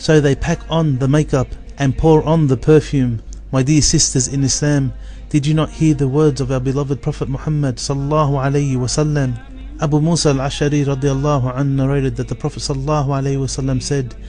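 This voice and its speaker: Music plays behind a man who speaks very fast in a fairly high pitch with monotone, flat intonation. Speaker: Islamic preacher. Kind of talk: religious sermon.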